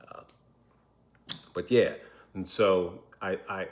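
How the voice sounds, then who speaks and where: A man speaks quietly. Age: 40s. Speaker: vlogger sharing adoption story. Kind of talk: personal testimony to camera. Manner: halting, with repeated words.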